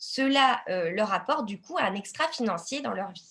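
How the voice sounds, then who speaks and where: A woman's fairly high, bright, sharp voice with lively intonation at a fairly slow pace. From Lille, northern France. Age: 20s. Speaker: independent entrepreneur, network marketing. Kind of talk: business opportunity presentation, live webinar.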